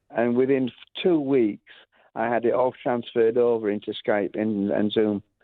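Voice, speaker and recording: At a moderate pace, a man with a Lancashire accent speaks at medium pitch with fairly even intonation. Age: 70s. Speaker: music school founder. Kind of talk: radio interview. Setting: radio show. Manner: halting, many fillers and restarts.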